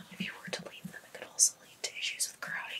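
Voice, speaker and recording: Soft whispering from a woman. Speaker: ASMR creator. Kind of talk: ASMR dental exam roleplay. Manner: whispered, soft-spoken.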